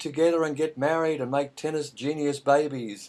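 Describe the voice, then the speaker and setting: A man with an Australian accent speaks at a fairly high pitch in a dark, mellow tone. The background is quiet. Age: 50s. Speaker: radio host. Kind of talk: radio interview. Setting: radio studio, Skype call.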